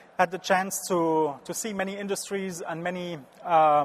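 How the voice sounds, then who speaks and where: A man with a French accent speaks at a moderate pace, his high pitch held in fairly even intonation. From France, Strasbourg region. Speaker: business consultant. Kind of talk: conference talk. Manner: halting.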